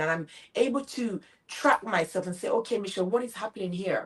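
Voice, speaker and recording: In a Jamaican accent, a woman speaks at a moderate pace with an animated tone and very wide pitch swings. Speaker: motivational speaker and business coach. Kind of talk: interview.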